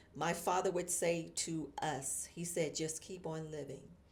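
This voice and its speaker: Delivered at a fairly slow pace, the voice has a warm tone and audible room echo. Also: woman. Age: 60s. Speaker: marketing professor and motivational speaker. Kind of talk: motivational talk. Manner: warm, conversational.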